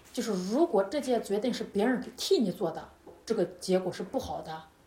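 Speaking at a moderate pace and medium pitch, a woman sounds animated, with lively intonation and noticeable background noise. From China. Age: 30s. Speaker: yoga instructor. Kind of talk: casual interview.

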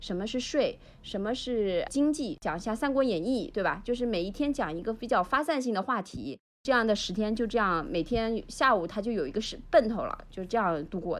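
Against a quiet background, a woman with an unremarkable speaking voice and fairly high pitch talks fairly quickly with lively intonation. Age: 40s. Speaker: youth baseball club manager. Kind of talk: casual chat.

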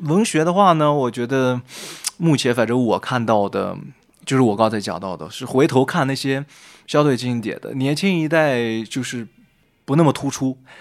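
A man at a medium pitch, moderate pace, and lively intonation, on a very clean recording with a silent background. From northern China, Shanxi. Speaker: freelance writer and former journalist. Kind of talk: casual chat. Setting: cafe.

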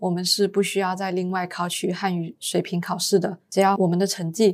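Her intonation is monotone and flat. The woman speaks at a moderate pace and medium pitch. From Malaysia, Penang. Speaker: university student and intern. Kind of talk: casual interview.

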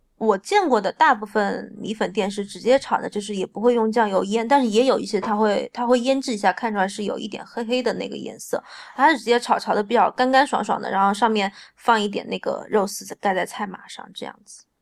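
A woman talks fairly quickly at a fairly high pitch, hardly ever pausing. Her intonation stays fairly even while her loudness swings widely. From Changsha, Hunan, China. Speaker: food blogger and home cook. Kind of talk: casual chat.

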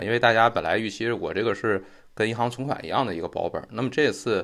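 A man speaks at a fairly quick pace and a medium pitch in a very clean recording with a silent background. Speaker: finance podcast host. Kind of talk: explanatory lecture-style monologue. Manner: improvised with frequent fillers.

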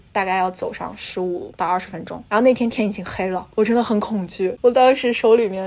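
A woman with a fairly high pitch talks in fairly even intonation as noticeable background noise plays. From China. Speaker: graduate student and NGO intern. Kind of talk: casual chat.

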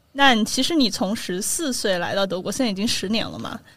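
This woman has an ordinary speaking voice, fairly high in pitch, with lively intonation. The recording is very clean, with a silent background. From Sichuan, China. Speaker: podcast host. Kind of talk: casual chat.

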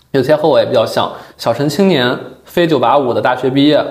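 A man talks at a fairly quick pace with fairly even intonation. Room echo is audible, and there is noticeable background noise. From Yuncheng, Shanxi, China. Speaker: podcast host. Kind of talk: casual interview chat.

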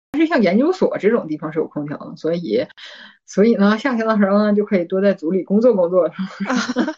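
A woman's voice is somewhat breathy, dark and mellow. She speaks at a fairly quick pace with lively intonation. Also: medium pitch for a woman. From Northeast China. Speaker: PhD student. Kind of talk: casual chat.

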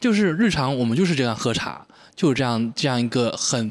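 A man speaks with lively intonation. The recording is very clean, with a silent background and a dry, close sound with no echo. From Quanzhou, Fujian, China. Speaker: tea brewer. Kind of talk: casual chat. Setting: teahouse.

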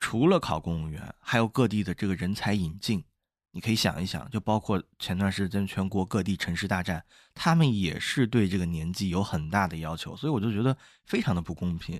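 A man speaks in a normal speaking voice at a fairly low pitch. He moves at a fairly quick pace with ordinary pitch variation. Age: young. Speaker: podcast co-host. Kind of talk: casual chat.

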